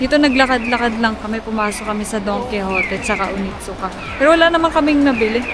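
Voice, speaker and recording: Speaking at a very fast pace, a woman with a fairly high pitch and ordinary pitch variation is heard over music in the background, with audible room echo. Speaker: travel vlogger. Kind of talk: casual vlog narration.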